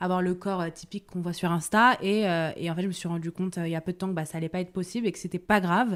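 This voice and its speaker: This woman talks at a very fast pace. Her medium-pitched voice keeps a fairly even intonation. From France, Paris. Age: 20s. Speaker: Instagram body-positive creator, music manager. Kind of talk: podcast interview. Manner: hesitant, many fillers.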